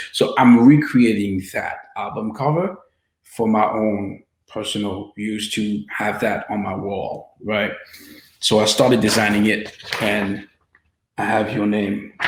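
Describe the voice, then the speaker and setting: A man's fairly low voice with a French accent and fairly even intonation, very slow, with long, frequent pauses and audible room echo. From France (Paris), Haitian descent. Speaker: filmmaker and interviewer. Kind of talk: casual interview.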